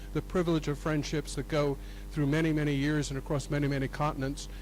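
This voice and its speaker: A man speaks in a room with audible echo, his pitch varying in an ordinary way. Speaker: professor. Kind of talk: conference talk. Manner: loud; halting.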